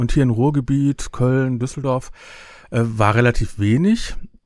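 Lively intonation and a moderate pace from a man of medium pitch, in an ordinary speaking voice. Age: 50s. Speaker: podcaster and event organizer. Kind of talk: casual interview. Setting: video call.

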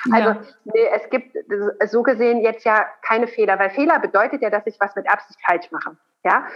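This woman has an unremarkable speaking voice, pitched fairly high, with ordinary pitch variation. She talks at a fairly quick pace. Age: 30s. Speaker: gynecologist and lactation consultant. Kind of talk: interview.

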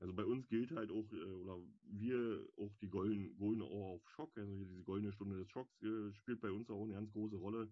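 A man talks at a fairly quick pace in a plain, everyday voice. His pitch sits fairly low and his intonation stays fairly even. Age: 30s. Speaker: firefighter. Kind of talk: casual interview.

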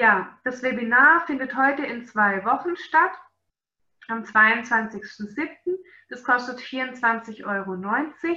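A woman at a very slow pace, high-pitched and bright and sharp in tone, with lively intonation and big swings in loudness. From Swabia, Germany. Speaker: animal nutrition webinar presenter. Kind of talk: webinar lecture.

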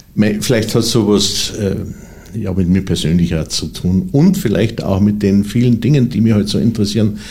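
A man with a fairly low pitch and ordinary pitch variation talks amid noticeable background noise. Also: moderate pace. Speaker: cabaret artist and literary performer. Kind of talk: interview. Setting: studio.

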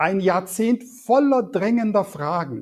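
Speaking at a very slow pace, a man uses a high pitch with lively intonation. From Swabia, Germany (came from Turkey at age four). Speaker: politician, state election candidate. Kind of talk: interview. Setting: video call. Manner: hesitant with filler words.

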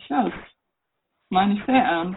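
Speaking in a Franconian accent, a woman goes at a fairly quick pace with medium pitch. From Germany, Upper Franconia. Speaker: riding instructor. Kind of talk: interview.

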